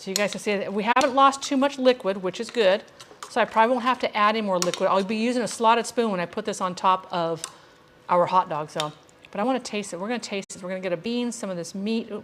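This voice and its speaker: A woman speaks at a very fast pace with an American accent and ordinary pitch variation. Noticeable background noise runs under her voice. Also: medium pitch for a woman. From Ireland (Wicklow). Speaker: cooking show host. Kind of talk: cooking tutorial with live quiz. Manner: casual, chatty.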